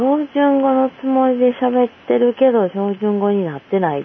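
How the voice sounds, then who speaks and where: Kansai accent at a moderate pace, noticeable background noise. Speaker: podcast guest. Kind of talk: casual chat.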